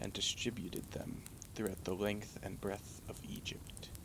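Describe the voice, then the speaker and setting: A man is whispering. His voice stays at a whisper throughout. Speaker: ASMR vtuber. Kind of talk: sleep story. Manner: soft-spoken, slow.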